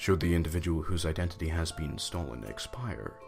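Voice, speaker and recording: Over music in the background, a man with a very deep, low voice speaks at a moderate pace. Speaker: narrator. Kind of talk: horror document narration.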